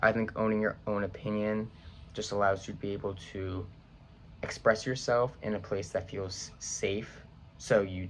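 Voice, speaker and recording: The delivery moves at a moderate pace in a normal speaking voice, with an American accent. Its intonation stays fairly even. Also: man. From Long Island, New York. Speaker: college student. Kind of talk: class video assignment. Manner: casual, with many fillers.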